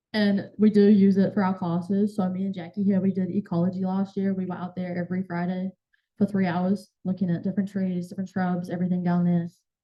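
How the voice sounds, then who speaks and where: A woman talks at a very fast pace in a medium pitch. Her delivery is somewhat breathy, with monotone, flat intonation. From New Zealand. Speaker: college student intern. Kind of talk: Q&A after presentation. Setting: club meeting, also streamed on Zoom.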